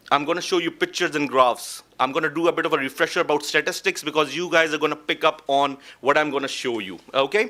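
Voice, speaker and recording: A man's bright, sharp voice at a fairly high pitch, going at a very fast pace. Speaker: oncologist. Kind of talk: lecture.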